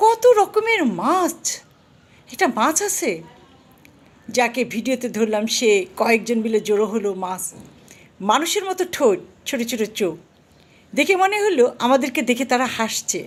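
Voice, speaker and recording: A woman's high voice with very wide pitch swings. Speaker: vlogger. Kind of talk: personal storytelling.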